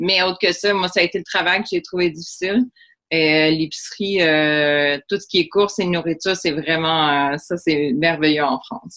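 In a Quebec accent, a woman talks at a moderate pace with a fairly low pitch. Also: ordinary pitch variation. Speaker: English teacher and former hotel worker. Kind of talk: casual interview.

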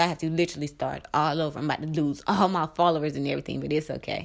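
With vocal fry and a very deep, low pitch, a woman talks at a very fast pace in an animated tone. The recording is very clean, with a silent background. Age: 30s. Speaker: podcast host and small business owner. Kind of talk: casual monologue. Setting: live recording at home.

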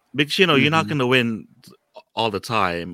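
A man's voice with lively intonation. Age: 20s. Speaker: podcast co-host (guest). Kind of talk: casual chat.

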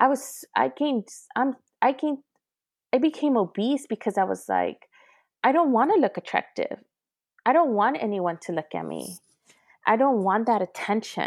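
On a very clean recording with a silent background, a woman speaks at a moderate pace in a fairly high voice with vocal fry, lively intonation, big swings in loudness, and long, frequent pauses. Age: 30s. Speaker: abuse survivor sharing her story. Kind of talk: testimony.

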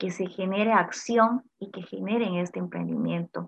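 A woman's bright, sharp tone at medium pitch and a very slow pace. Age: 30s. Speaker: entrepreneur and industrial engineer. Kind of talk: interview.

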